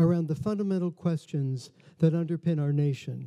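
Against a quiet background, a man speaks with a high pitch. His tone is dark and mellow, and his pace is moderate. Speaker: museum host. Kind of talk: formal welcome speech. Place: hall. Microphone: podium.

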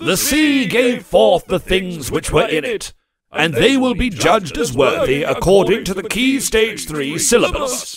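A man puts on a shrill character voice with a high pitch and very wide pitch swings. He delivers it at a fairly slow pace. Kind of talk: archaic biblical pronouncement. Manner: shrieking, indignant, pompous.

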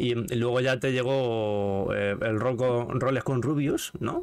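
This man has a normal speaking voice at medium pitch. His pitch varies in an ordinary way over a quiet background. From Spain. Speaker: gaming streamer and interview host; gaming streamer, interview host. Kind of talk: casual interview chat. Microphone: studio mic.

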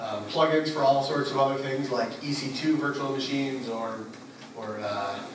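A man talks at a moderate pace. Audible room echo and noticeable background noise come through. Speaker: conference presenter. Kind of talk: technical talk. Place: hall. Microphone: camera far.

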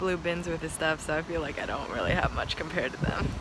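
There is noticeable background noise behind a woman speaking, with a dry sound and no echo. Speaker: vlogger. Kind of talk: casual vlog chat. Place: street. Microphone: phone near.

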